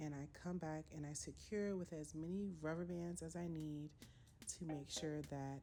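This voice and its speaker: Music plays in the background as a woman speaks at a moderate pace. Her pitch is very deep and low, and her intonation is fairly even. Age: 20s. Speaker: hair stylist. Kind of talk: tutorial voiceover.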